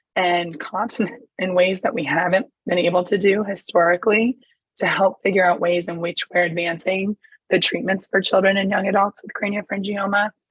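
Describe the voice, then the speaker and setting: A woman speaks at medium pitch and a fairly quick pace, her voice somewhat breathy with fairly even intonation. The sound is dry with no echo, and the background is quiet. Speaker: pediatric neuro-oncologist; presenter. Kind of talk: conference presentation. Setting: video call. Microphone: webcam.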